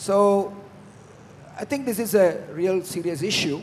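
Over light background noise, a man with an Indian accent speaks with fairly even intonation. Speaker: aviation entrepreneur; speaker. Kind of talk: panel discussion. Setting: stage with audience. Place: hall. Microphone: handheld.

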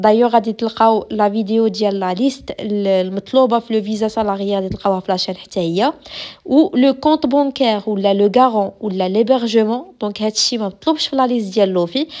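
Speaking in a Moroccan accent, a woman keeps a fairly slow pace and a fairly high pitch with ordinary pitch variation. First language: Moroccan Arabic (speaking French). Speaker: YouTuber answering immigration questions. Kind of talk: Q&A vlog.

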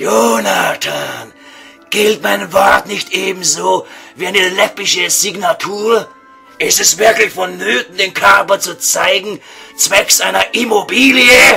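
Faint music sits behind a put-on character voice delivered at a fairly slow pace. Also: man, high pitch for a man. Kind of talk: comic radio sketch, mock-solemn elevated speech. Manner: pompous, formal, courteous, stilted.

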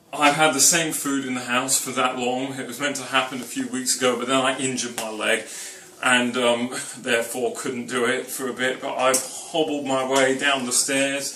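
Over light background noise and audible room echo, a man talks at a moderate pace with monotone, flat intonation. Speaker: home cooking show host. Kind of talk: casual vlog chat. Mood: wry self-mocking humour. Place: kitchen. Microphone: camera far.

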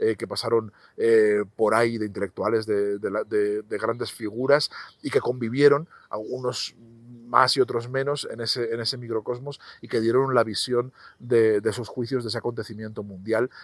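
Over a quiet background, a man speaks at medium pitch and a moderate pace. The sound is dry, with no echo. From Spain, Zaragoza; Spain. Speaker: novelist; interviewee. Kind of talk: interview monologue about his books. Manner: halting, many repetitions and fillers. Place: garden. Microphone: lapel.

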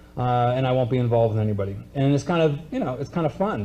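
A man speaks at a very fast pace in a dark, mellow tone. His voice is somewhat breathy, with light background noise. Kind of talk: lecture. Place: stage. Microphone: podium.

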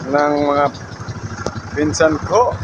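This man's voice sits fairly high in pitch. Noticeable background noise runs under it. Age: 30s. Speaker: vlogger and pandesal vendor. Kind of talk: casual vlog monologue. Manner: halting, many fillers.

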